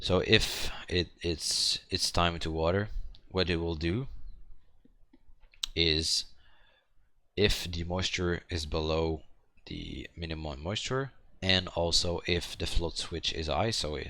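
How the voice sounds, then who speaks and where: On a very clean recording with a silent background, a man speaks very slowly in a very deep, low voice with a bright, sharp tone. His pitch varies in an ordinary way, and he pauses long and often. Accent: French. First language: French. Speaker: hobbyist maker. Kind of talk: tutorial. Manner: halting, many fillers and repetitions.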